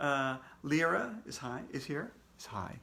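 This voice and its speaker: Audible room echo surrounds this man's voice. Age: 60s. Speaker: children's book author reading aloud to kids. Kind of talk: casual chat greeting live viewers. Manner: casual, halting with many fillers.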